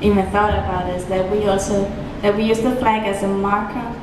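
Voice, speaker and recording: Noticeable background noise and audible room echo around a woman speaking. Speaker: presenter. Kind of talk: presentation talk. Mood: light, amused.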